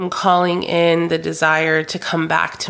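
Moderate pace from a woman on a very clean recording, silent background. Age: 30s. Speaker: podcast host, therapy practice owner. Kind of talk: solo reflective monologue. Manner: conversational.

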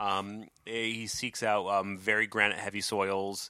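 A man speaks at a moderate pace with a fairly low pitch. His tone is playful, bright and sharp. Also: dry, close sound with no echo. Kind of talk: casual chat. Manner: joking, playful.

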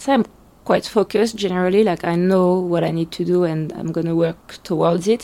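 A woman with a French accent speaks at a fairly low pitch and a fairly quick pace. Her intonation is fairly even. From France. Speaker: blogger. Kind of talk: casual interview.

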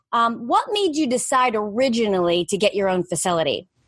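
Her ordinary speaking voice sits fairly high in pitch as this woman talks at a moderate pace with lively intonation. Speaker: podcast host. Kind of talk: interview chat.

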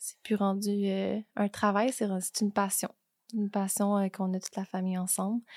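A woman with a Quebec accent at a medium pitch, moderate pace and monotone, flat intonation, in a dry, close sound with no echo and a very clean recording with a silent background. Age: 20s. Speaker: real estate broker. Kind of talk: casual chat.

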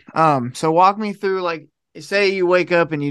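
A man talks in an ordinary speaking voice with an American accent, at a fairly quick pace. His pitch moves in an ordinary way against a quiet background. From Ohio. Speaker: podcast host. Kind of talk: casual interview. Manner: casual, laid-back.

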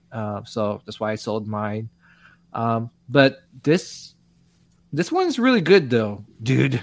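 A man with a medium-pitched voice speaks at a very slow pace, his intonation lively and his volume swinging widely, with long pauses coming often. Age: 40s. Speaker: podcast host. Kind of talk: casual chat.

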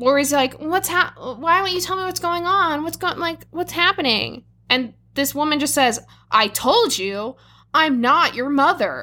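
Speaking at a fairly slow pace, a woman uses a raised, projected voice with a high pitch and lively intonation. Her tone is bright and sharp, and the recording is very clean with a silent background. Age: 20s. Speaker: podcast co-host. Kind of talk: casual chat.

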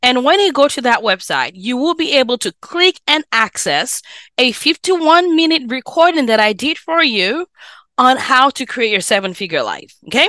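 In a raised, projected voice with a non-native accent, a woman speaks at a moderate pace with a high pitch, very wide pitch swings and an animated, bright, sharp tone, in a dry, close sound with no echo on a very clean recording with a silent background. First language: not English. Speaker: physician and personal finance podcast host. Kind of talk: solo podcast talk, coaching.

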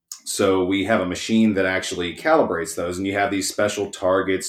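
With a Texan accent, a man talks at a fairly quick pace, his fairly low pitch held in fairly even intonation. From East Texas. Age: 30s. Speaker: auto repair shop owner. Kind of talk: casual chat.

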